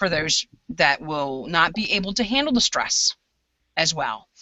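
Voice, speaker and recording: This woman has a fairly low pitch. Her intonation is lively. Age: 40s. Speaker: prepper group leader. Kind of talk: casual chat. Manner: animated.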